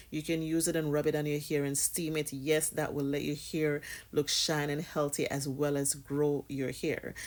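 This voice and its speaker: A woman with a Jamaican accent speaks in a very deep, low pitch with monotone, flat intonation, on a very clean recording with a silent background. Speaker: hair care vlogger, mother. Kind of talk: casual tutorial vlog.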